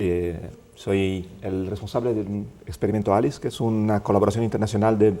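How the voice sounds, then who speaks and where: A man with a dark, mellow tone speaks at a moderate pace and a fairly low pitch, with ordinary pitch variation. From Italy. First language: Italian (speaking Spanish). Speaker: physicist, director of a research experiment. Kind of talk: TV interview.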